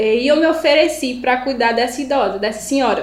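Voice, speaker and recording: Audible room echo surrounds a woman's high-pitched voice as she speaks at a moderate pace with ordinary pitch variation. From Pernambuco interior, Brazil. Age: 20s. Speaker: civil firefighter and first aid instructor. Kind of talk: casual interview chat.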